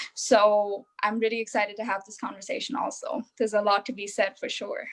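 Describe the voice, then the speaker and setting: A woman with an Indian accent speaks fairly quickly in a fairly high, monotone voice. Her intonation is flat, while her loudness swings a lot. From India, Mumbai. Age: young. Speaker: young adult panelist. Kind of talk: panel discussion.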